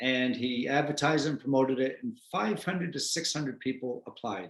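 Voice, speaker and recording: Animated male voice in an American accent, medium pitch, moderate pace. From United States. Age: 60s. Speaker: retired special forces veteran and author. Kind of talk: interview. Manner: animated storytelling.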